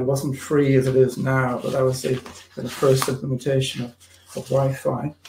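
Over noticeable background noise, a man talks at medium pitch and a fairly quick pace. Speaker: alumnus panelist, former airline IT professional. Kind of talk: career talk presentation.

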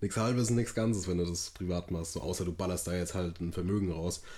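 A very deep, low-pitched man's voice with a dark, mellow tone, on a very clean recording with a silent background. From Hesse, near Frankfurt. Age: 20s. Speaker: podcast co-host. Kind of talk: casual chat. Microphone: recorded via laptop.

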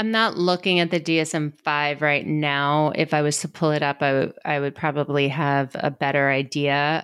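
A woman with an American accent and a very deep, low pitch speaks at a moderate pace with hardly any pauses, very even loudness and fairly even intonation, on a very clean recording with a silent background. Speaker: ADHD coach. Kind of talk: casual interview chat.

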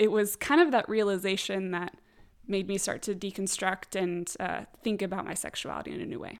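A woman with an American accent talks at a fairly quick pace and medium pitch in an ordinary speaking voice, with ordinary pitch variation and big swings in loudness. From San Diego, California. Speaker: podcast guest, tech worker. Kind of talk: casual interview chat.

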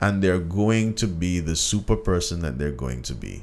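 Talking in a Jamaican accent, a man keeps a fairly slow pace. His intonation is lively. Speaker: podcast host. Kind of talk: casual chat. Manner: animated.

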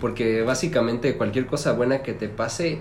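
A man speaks at a moderate pace in a somewhat breathy voice. Audible room echo comes through. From Mexico, Celaya, Guanajuato. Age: 20s. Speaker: podcast co-host. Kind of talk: casual chat.

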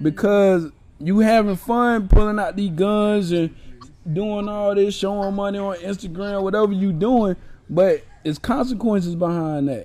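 Speaking at a moderate pace, a man has a high pitch, a dark, mellow tone and ordinary pitch variation. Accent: American. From Orlando area, Florida. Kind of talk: casual chat.

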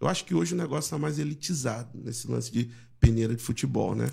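This man talks at a very fast pace. He speaks with a Rio de Janeiro accent. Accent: Carioca Brazilian Portuguese. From Rio de Janeiro (Jacarepaguá), Brazil. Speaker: pastor. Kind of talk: casual chat.

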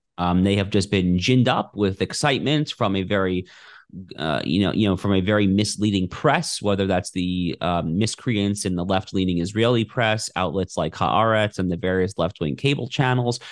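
A man speaks at a moderate pace in a fairly low voice with ordinary pitch variation. He has a normal speaking voice. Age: 30s. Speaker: opinion editor and constitutional lawyer. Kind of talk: interview.

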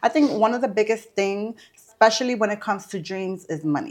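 A woman's normal speaking voice, medium in pitch, at a moderate pace against a quiet background. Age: 30s. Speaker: florist and event planner. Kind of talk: casual interview.

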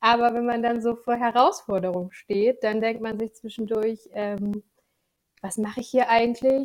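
A woman talks in a normal speaking voice at a moderate pace. Her pitch is fairly high, with fairly even intonation. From Lower Saxony, Germany (Gifhorn district). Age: 20s. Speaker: financial controlling freelancer. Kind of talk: podcast interview.

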